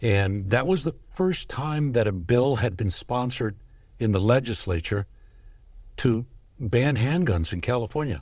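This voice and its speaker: With an American accent, this somewhat breathy voice moves at a fairly slow pace with lively intonation over a very clean recording and silent background. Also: man, medium pitch for a man. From US West Coast, East Los Angeles. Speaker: gun rights advocacy executive. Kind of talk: casual interview over whiskey.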